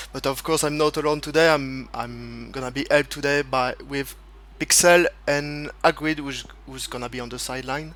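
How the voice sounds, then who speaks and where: A man at a moderate pace, with big swings in loudness. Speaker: esports race commentator. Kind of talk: live commentary. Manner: halting.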